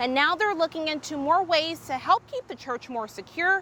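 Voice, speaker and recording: A woman speaks in a raised, projected voice with very wide pitch swings over noticeable background noise. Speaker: TV news reporter and anchor. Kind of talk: TV news package narration.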